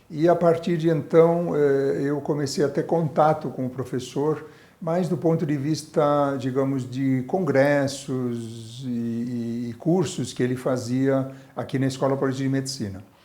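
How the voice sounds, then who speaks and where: A man with a fairly high pitch and a dark, mellow tone speaks at a fairly slow pace. His pitch variation is ordinary, and audible room echo surrounds him. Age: 60s. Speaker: obstetrician and medical professor. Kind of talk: oral history interview.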